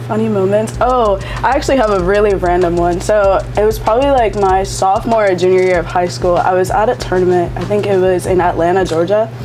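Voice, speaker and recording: With music in the background and audible room echo, a woman speaks with hardly any pauses, very wide pitch swings and very even loudness. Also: medium pitch for a woman. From Florida, Seminole County. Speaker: college softball player. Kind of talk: casual interview. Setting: hot sauce shop. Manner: hesitant, many fillers.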